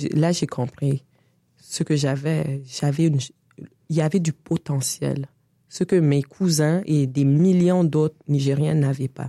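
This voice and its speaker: Very slowly, a woman talks in a very deep, low pitch with a dark, mellow tone and fairly even intonation. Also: dry, close sound with no echo. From Senegal (Dakar) until 8, then Canada (Quebec). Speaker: artist and feminist activist. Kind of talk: interview conversation. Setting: studio.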